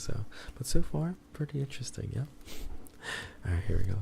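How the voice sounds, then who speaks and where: A man with a dark, mellow, somewhat breathy tone speaks at a fairly quick pace with lively intonation. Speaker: streamer. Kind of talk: casual talk to stream chat.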